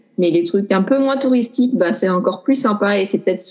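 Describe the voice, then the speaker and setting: A woman with a plain, everyday voice, medium pitch, ordinary pitch variation and a fairly quick pace. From France, Grenoble. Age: 30s. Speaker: traveller. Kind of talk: casual chat.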